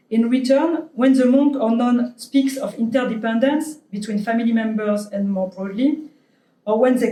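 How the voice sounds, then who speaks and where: With a French accent, a woman talks at a moderate pace in a high pitch, her tone dark and mellow and her pitch varying in an ordinary way. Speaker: anthropologist, invited lecturer. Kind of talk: academic lecture; reading conclusion from slide. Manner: halting, many fillers.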